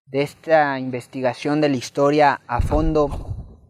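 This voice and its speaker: In an unremarkable speaking voice, a man with a fairly high pitch talks at a fairly slow pace, and the sound is dry and close with no echo. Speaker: interviewer. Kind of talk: interview. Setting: literary festival.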